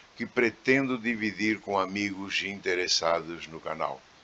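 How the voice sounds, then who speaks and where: Bright and sharp in tone, a man's voice shows ordinary pitch variation. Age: 70s. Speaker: channel owner, former circus technician. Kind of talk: scripted channel introduction.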